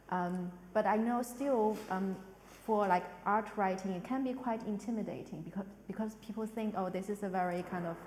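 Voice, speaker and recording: A woman speaks at a moderate pace with a medium pitch. Audible room echo and noticeable background noise surround her. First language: not English. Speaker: arts director hosting a panel talk. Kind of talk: panel discussion. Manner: halting, many fillers.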